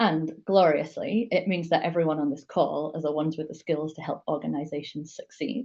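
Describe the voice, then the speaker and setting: A woman speaks at a moderate pace with a strong Yorkshire accent. Her tone is dark and mellow. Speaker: digital strategist and conference speaker. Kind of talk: talk at an online meetup.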